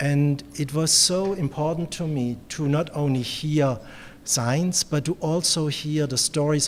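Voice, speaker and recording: Pitch varies in an ordinary way as a man talks. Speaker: medical researcher hosting a symposium. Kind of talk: conference welcome speech. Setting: conference room with audience, microphone. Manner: soft-spoken; hesitant, many fillers.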